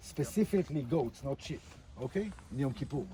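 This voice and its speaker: This man speaks with an Israeli accent at a moderate pace. His intonation is lively. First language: Hebrew. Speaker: tour guide. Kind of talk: guided tour talk outdoors. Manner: halting, many fillers.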